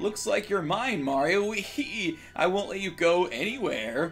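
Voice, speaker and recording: Over clear background music, a man does a put-on character voice at a high pitch and a moderate pace. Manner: cackling, menacing.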